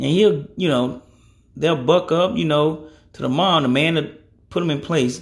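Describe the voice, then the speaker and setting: Somewhat breathy, a man with a fairly high pitch talks at a fairly slow pace with ordinary pitch variation. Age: 30s. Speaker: podcast host. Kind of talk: casual monologue. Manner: casual, rambling.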